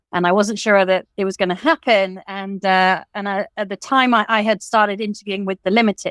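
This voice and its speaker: At a fairly quick pace, a woman with an English accent speaks in a medium pitch with monotone, flat intonation, in a very clean, dry, close recording with no echo and a silent background. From England. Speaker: fashion designer and college teacher. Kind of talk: interview.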